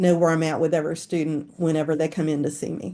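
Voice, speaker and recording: A woman's dark, mellow tone at a fairly quick pace. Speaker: school counselor presenting. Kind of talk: webinar presentation. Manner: fast.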